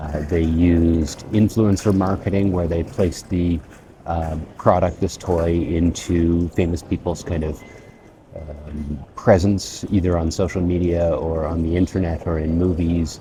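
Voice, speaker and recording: With a Canadian accent, a man talks at a fairly slow pace in a very deep, low pitch and a monotone, flat intonation. Noticeable background noise runs under his voice. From Canada. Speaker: English teacher. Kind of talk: casual vlog lesson. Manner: slow, clear.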